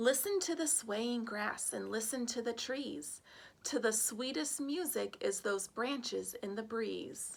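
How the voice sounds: Using a put-on character voice, a woman talks slowly at a fairly high pitch with vocal fry and lively intonation.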